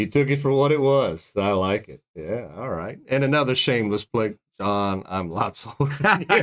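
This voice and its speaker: Using a plain, everyday voice, a man speaks at medium pitch and a moderate pace with lively intonation and hardly any pauses. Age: 40s. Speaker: fishing guide and show host. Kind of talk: casual chat.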